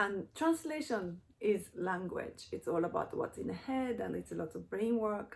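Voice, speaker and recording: Speaking in a Japanese accent, a woman is heard. Her pace is fairly slow. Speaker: YouTuber, cultural translator. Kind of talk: personal reflection vlog. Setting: at home in front of bookshelf. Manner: halting.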